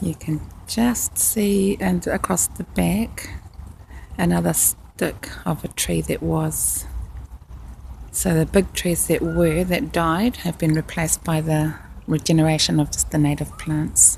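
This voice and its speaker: Speaking in a New Zealand accent, the female voice moves at a fairly slow pace. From New Zealand, Rotorua. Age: 60s. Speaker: nurse. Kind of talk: casual video narration. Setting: outdoors. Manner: slightly halting.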